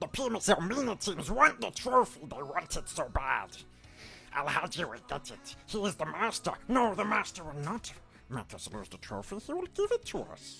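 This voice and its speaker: A man puts on a character voice with a high pitch. Clear background noise can be heard. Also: moderate pace. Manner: playful, exaggerated.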